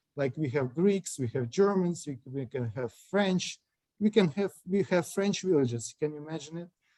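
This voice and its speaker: The sound is dry and close with no echo as a man with a Russian accent speaks with a dark, mellow tone and ordinary pitch variation. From central Ukraine. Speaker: lawyer. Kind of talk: interview. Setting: video call. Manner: halting.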